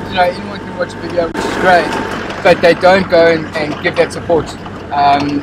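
There is noticeable background noise but a dry sound with no echo as a man speaks at a fairly quick pace with ordinary pitch variation. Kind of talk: conversational interview answer. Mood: thoughtful, earnest. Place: car.

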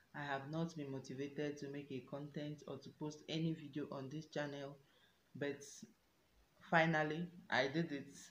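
Over light background noise and audible room echo, a woman with a very deep, low voice talks at a moderate pace in a flat monotone. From Nigeria, Enugu State; Nigeria. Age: 20s. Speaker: YouTuber. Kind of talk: self-introduction Q&A vlog. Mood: warm, earnest. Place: home room. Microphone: phone near.

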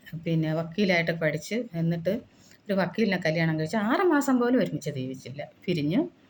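Noticeable background noise is present. The speaker's pitch moves across a very wide range. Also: woman. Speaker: YouTuber. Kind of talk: monologue.

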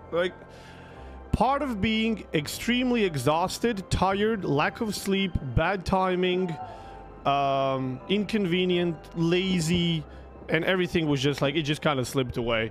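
Faint music plays in the background as a man talks slowly at a high pitch. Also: ordinary pitch variation.

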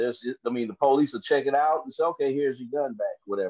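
Over a quiet background, a man with a Southern US accent talks at a fairly quick pace. The sound is dry with no echo, and his pitch variation is ordinary. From US South. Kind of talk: panel discussion. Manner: halting. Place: home room. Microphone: video call.

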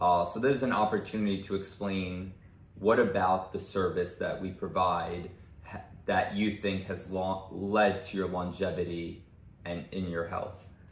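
A man speaks at a fairly slow pace with a very deep, low pitch and a somewhat breathy voice. His intonation is monotone and flat, and room echo is audible. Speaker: chiropractor. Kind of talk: interview. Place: home room. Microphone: camera far.

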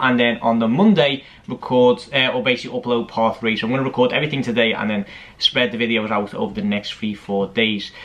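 The man's pitch rises and falls in an ordinary way. He gets through his words very quickly. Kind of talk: casual vlog chat. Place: home room.

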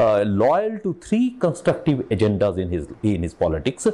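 A man speaks at a moderate pace in a dark, mellow tone. His pitch swings very widely. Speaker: author and academic researcher. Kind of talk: interview conversation. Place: home room. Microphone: lapel.

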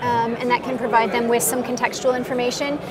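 A woman with a fairly high pitch talks over clear background noise.

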